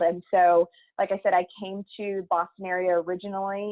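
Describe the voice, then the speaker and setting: A woman at a moderate pace and medium pitch, monotone and flat, in a slight Texas accent. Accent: slight Texas twang. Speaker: higher education administrator, former professor. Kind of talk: interview.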